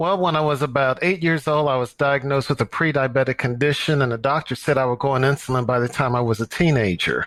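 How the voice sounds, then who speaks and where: With an American accent, a man talks at a very fast pace with hardly any pauses, his fairly high pitch showing ordinary variation and his loudness very even. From US Midwest, St. Louis, Missouri. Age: 60s. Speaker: running coach and nonprofit director. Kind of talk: podcast interview.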